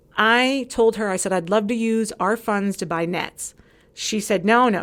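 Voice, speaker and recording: On a very clean recording with a silent background, a woman with a fairly high pitch speaks in an animated tone with ordinary pitch variation. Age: 40s. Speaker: former community social committee member. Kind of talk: casual chat. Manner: fast.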